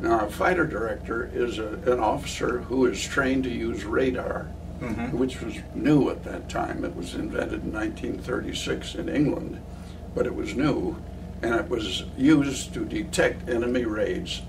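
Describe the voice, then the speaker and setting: Noticeable background noise accompanies a man with an American accent speaking at a moderate pace. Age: 80s+. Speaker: war veteran, retired professor. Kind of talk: interview answer.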